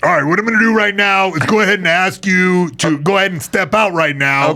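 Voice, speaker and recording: In a put-on character voice, a man with a high pitch talks at a fairly quick pace, his voice raised and projected. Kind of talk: authoritative, procedural. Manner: firm, repetitive.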